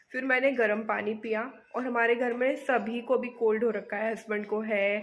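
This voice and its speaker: Speaking at a fairly slow pace, a woman keeps a fairly high pitch and a monotone, flat intonation. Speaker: homemaker vlogger. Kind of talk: casual vlog narration. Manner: conversational.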